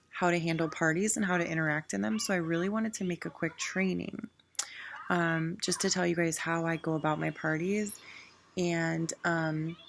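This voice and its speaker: A quiet woman's voice at a moderate pace, with very even loudness. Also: fairly low pitch for a woman, ordinary pitch variation. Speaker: direct sales team leader. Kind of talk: training talk. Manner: casual.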